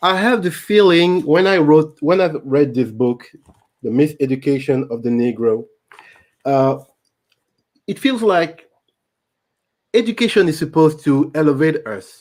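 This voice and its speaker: In a French accent, a man speaks at a fairly slow pace with lively intonation. He leaves long, frequent pauses. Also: fairly high pitch for a man. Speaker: YouTube channel host. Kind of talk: live stream book discussion. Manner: halting.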